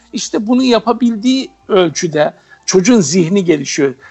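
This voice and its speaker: Over music in the background, a man with a high-pitched voice talks at a fairly slow pace with lively intonation. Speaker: teacher. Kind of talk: radio interview. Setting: phone call.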